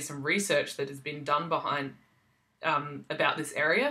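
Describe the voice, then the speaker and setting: A woman with an Australian accent, very deep and low in pitch, bright and sharp in tone, with ordinary pitch variation and a fairly slow pace. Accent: generalized Australian. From South Australia. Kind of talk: casual vlog talk. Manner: hesitant, many ums.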